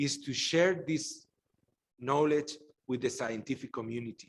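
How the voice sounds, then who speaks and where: A man speaks with ordinary pitch variation. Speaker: professor, workshop lecturer. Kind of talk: lecture. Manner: halting, many fillers and repetitions.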